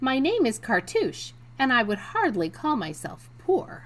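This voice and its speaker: A woman speaks at a fairly slow pace in a put-on character voice. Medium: read story. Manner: quiet, gentle.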